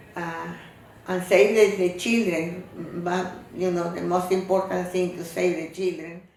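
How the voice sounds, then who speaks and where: A woman with a fairly low pitch speaks at a fairly slow pace in a monotone, flat intonation. Noticeable background noise and audible room echo surround her. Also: big swings in loudness. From Cuba. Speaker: interviewee, family elder. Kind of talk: interview testimony. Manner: halting.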